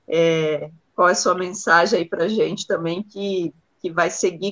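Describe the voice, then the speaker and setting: Her voice is an unremarkable speaking voice: a woman at a medium pitch, talking fairly slowly with fairly even intonation. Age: 30s. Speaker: university professor and union official hosting the show. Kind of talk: interview.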